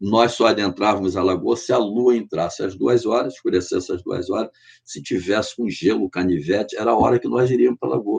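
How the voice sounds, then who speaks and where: Vocal fry marks a man's voice as he talks at a moderate pace with ordinary pitch variation. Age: 70s. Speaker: artisanal fisherman. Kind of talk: podcast interview. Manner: earnest, impassioned.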